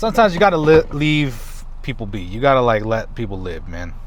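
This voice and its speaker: A man's speech, delivered at a moderate pace, carries audible room echo over noticeable background noise. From US, Mexican-American family. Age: 20s. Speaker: vlogger. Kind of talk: casual vlog. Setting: in a car.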